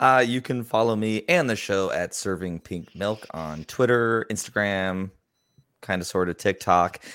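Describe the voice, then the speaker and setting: A man talks at a fairly slow pace in an unremarkable speaking voice, fairly low in pitch with ordinary pitch variation. The recording is very clean, with a silent background. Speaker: podcaster. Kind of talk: casual chat.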